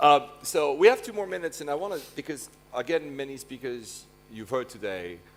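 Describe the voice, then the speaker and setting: A man with a French accent speaks with lively intonation. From Switzerland, French-speaking. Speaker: conference moderator. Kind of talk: panel interview.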